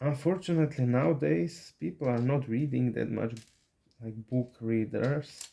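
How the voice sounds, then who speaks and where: Very slowly, a man speaks with a Slovak accent in a dark, mellow tone. His pitch is medium, with ordinary variation. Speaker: YouTuber building lego sets. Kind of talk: casual chat. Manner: halting.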